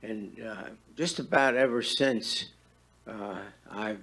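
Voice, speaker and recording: Lively intonation from a man at medium pitch, with audible room echo. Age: 80s+. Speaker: retiree, public commenter. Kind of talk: public comment at council meeting. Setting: town board meeting. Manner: halting, many fillers.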